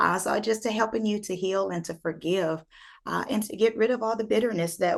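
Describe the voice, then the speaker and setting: At a moderate pace, a woman is talking. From United States. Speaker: life coach and speaker. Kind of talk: interview answer. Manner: energetic, upbeat.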